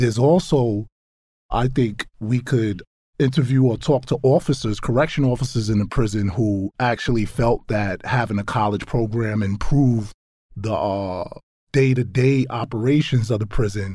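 Speaking with an American accent at a moderate pace, a man with a medium-pitched, somewhat breathy voice and a dark, mellow tone shows ordinary pitch variation, in a very clean recording with a silent background. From Brownsville, Brooklyn, New York. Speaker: nonprofit program associate, former prisoner. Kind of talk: interview.

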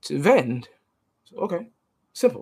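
Animated in tone, a woman speaks at a fairly slow pace with very wide pitch swings. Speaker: podcast host. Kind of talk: casual storytelling monologue.

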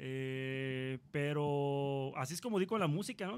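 On a very clean recording with a silent background, a man with a normal speaking voice talks in a fairly high pitch with ordinary pitch variation. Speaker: rock musician. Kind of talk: casual chat.

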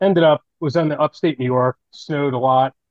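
Fairly high in pitch, a man with an unremarkable speaking voice talks at a moderate pace with fairly even intonation. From New Jersey. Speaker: custom fishing rod builder. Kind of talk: casual interview chat.

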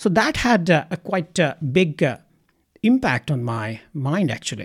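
Speaking at a fairly slow pace with an Indian accent, a man uses lively intonation in a somewhat breathy voice on a very clean recording with a silent background. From India, Ranchi. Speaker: psychiatrist. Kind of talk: interview. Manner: halting.

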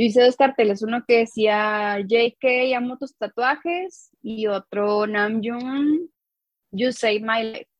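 Speaking very slowly, a woman with a fairly high pitch uses ordinary pitch variation. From northern Mexico, Coahuila. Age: 20s. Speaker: designer and teacher, fan artist. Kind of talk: casual interview chat.

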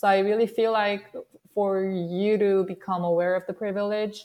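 Here a woman speaks with a Korean accent at a moderate pace. Her voice is medium in pitch with monotone, flat intonation. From South Korea. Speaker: workplace researcher. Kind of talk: panel interview.

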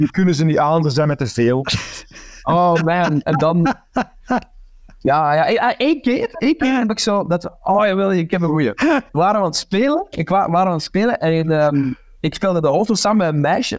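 The sound is dry and close with no echo. A man speaks at a moderate pace with a high pitch and lively intonation. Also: very even loudness. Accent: Flemish. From Flanders, Belgium. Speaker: comedian and actor. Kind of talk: casual chat. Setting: video call. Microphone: plain headset, poor audio quality.

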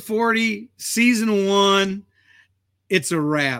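A man's raised, projected voice, high-pitched and bright, sharp in tone, with lively intonation and an American accent. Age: 50s. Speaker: podcast host and coffee business owner. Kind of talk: casual chat.

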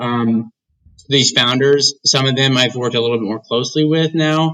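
At a medium pitch and moderate pace, a man speaks in a normal speaking voice with fairly even intonation. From US Midwest (Indiana). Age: 20s. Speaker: venture capital investor. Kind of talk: interview.

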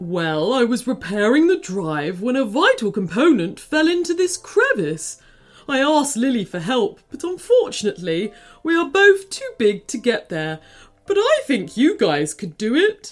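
A put-on character voice sits at a fairly high pitch and moves at a moderate pace. Its pitch swings very widely. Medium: read story. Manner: friendly, warm.

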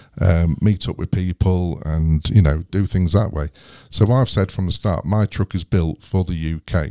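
A man's very deep, low voice with a dark, mellow tone and an English accent, ordinary pitch variation and a moderate pace, on a very clean recording with a silent background and a dry, close sound with no echo. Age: 40s. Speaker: YouTuber and off-grid overlander. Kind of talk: casual interview. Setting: studio. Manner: halting, many fillers.

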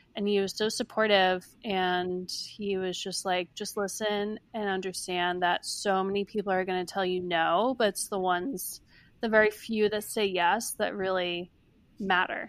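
The recording is very clean, with a silent background. A woman speaks fairly slowly at a medium pitch in a monotone, flat delivery. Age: 20s. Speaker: founder of a self-care brand. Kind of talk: interview.

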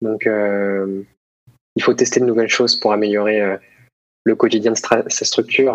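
A man's fairly low voice, flat and monotone, at a fairly slow pace. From Paris region, Essonne. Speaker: former student entrepreneur. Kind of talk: casual interview. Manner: hesitant, many repetitions.

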